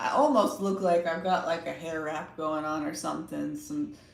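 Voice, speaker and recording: A woman's fairly low-pitched voice with audible room echo. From Texas, Austin. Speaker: tarot reader / livestream host. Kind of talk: casual livestream chat.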